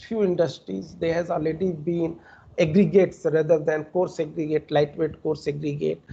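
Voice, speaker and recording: Speaking at a moderate pace, a man uses a high pitch, a dark, mellow tone and fairly even intonation. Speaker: senior research scientist. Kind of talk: lecture Q&A. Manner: halting, many fillers.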